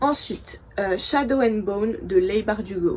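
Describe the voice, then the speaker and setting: This woman's pitch runs fairly high. There is a somewhat breathy quality to her voice. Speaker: book youtuber. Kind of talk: casual chat. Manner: hesitant, many fillers.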